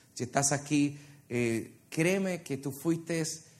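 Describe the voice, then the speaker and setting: A man at a fairly slow pace. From Puerto Rico. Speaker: worship leader and preacher. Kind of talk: sermon. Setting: church with congregation. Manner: animated.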